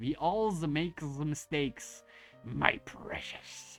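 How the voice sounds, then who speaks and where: A put-on character voice speaks at a middle pitch and a very slow pace. Faint music sits in the background. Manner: put-on creature voice.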